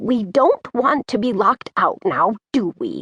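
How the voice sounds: A woman uses a put-on character voice with a fairly bright tone, a slightly husky edge and big pitch swings. She talks slowly, and the sound is dry and close with no echo. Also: medium pitch for a woman.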